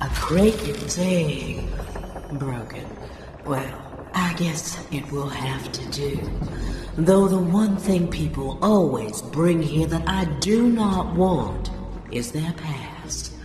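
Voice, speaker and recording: A put-on character voice at a middle pitch speaks at a very slow pace. There is slight echo and clear background noise. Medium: machinima. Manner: sultry, teasing.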